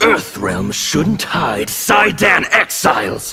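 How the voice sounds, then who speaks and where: Doing a put-on character voice, a man speaks at a very slow pace. His voice is raspy and high-pitched. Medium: dub. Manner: intimidating.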